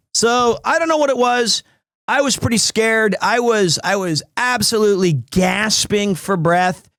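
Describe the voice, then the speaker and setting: A man with a high pitch and a bright, sharp tone speaks at a fairly slow pace in a very clean recording with a silent background. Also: very even loudness. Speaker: streamer. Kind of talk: casual chat. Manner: halting with many repetitions.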